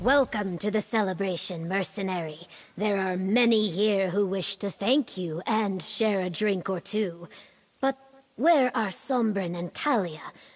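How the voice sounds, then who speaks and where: This woman uses a put-on character voice at a medium pitch. She keeps a moderate pace. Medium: video game. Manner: formal, stately.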